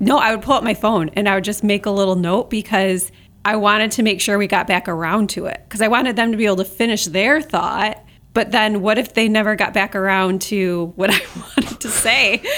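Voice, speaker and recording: Recorded very cleanly over a silent background, a woman with a plain, everyday voice speaks at a fairly quick pace and medium pitch with fairly even intonation. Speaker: podcast co-host. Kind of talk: casual conversational podcast chat.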